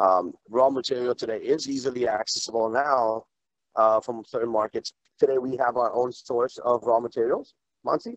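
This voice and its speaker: Against a quiet background, a man talks at a moderate pace with fairly even intonation and a dry sound with no echo. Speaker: company executive; panelist. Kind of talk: panel discussion. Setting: video call. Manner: halting. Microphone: video call.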